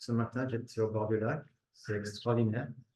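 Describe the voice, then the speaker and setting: A man with an English accent talks at a fairly slow pace. His voice is somewhat breathy. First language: English (speaking French). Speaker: yoga teacher. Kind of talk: lecture. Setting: live class. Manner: halting.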